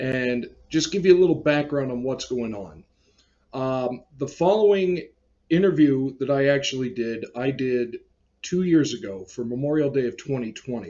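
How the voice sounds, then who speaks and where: In an unremarkable speaking voice, a man talks at a moderate pace with a medium pitch and lively intonation. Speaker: collector channel host and interviewer. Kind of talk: casual talk to camera.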